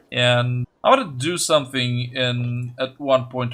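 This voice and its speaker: A bright, sharp tone with a non-native accent. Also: man. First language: not English. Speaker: gaming video creator. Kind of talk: let's play commentary. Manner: halting, stuttering.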